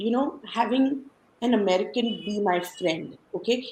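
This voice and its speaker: A woman speaks with an Indian accent. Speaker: podcast guest sharing life story. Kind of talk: casual interview, personal story. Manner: animated storytelling.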